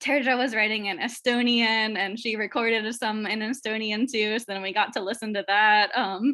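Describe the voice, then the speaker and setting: An unremarkable speaking voice from a woman, fairly high-pitched, at a moderate pace with fairly even intonation and hardly any pauses. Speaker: teacher. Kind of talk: casual chat.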